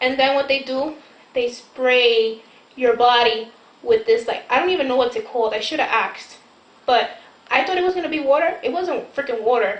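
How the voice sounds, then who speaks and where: With noticeable background noise behind it, the speech keeps a moderate pace and ordinary pitch variation. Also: woman, high pitch for a woman. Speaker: vlogger discussing her plastic surgery. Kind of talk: casual chat. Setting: late night chat with sister at home. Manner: casual, filler-heavy.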